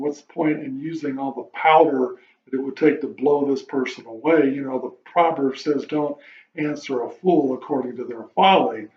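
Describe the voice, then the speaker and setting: A man speaks at a fairly high pitch and a moderate pace. His loudness swings widely. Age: 60s. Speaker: vlogger. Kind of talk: casual monologue. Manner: halting.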